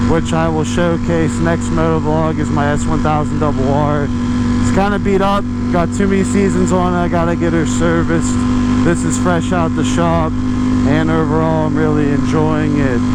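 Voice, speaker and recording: Amid noticeable background noise and audible room echo, a man with a very deep, low voice talks at a moderate pace, his loudness very even while his pitch swings very widely. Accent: American. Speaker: motovlogger. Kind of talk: casual vlog.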